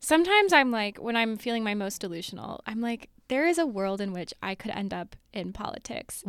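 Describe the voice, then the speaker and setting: A woman with an unremarkable speaking voice talks at a fairly quick pace with hardly any pauses. Her pitch is fairly high and her intonation lively. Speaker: podcast guest.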